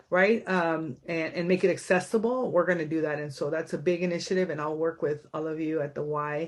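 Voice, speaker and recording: A woman with a fairly low pitch talks at a fairly quick pace, her intonation fairly even. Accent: Spanish. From San Diego, raised after birth in Tijuana. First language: Spanish. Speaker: county supervisor, local politician. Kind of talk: community meeting speech. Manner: casual, with many fillers.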